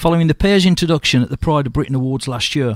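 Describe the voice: With lively intonation, a man speaks at a fairly high pitch in a fairly bright tone.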